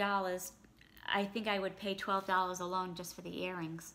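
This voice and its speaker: A woman's bright, sharp tone at a moderate pace. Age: 40s. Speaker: YouTuber. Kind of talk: product unboxing. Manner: casual, with fillers. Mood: pleased, mildly excited. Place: home room. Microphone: phone near.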